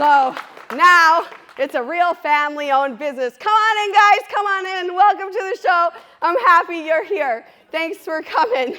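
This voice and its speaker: Over noticeable background noise, a woman with an extremely high pitch uses a raised, projected voice, lively intonation and an animated tone at a moderate pace. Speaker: trades business co-owner, conference speaker. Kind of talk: conference presentation. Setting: stage with audience. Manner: loud.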